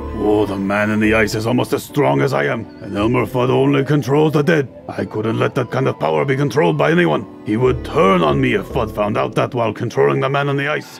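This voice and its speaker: Over clear music in the background, a put-on character voice moves at a fairly quick pace with very wide pitch swings. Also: man, fairly low pitch for a man. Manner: cold, threatening.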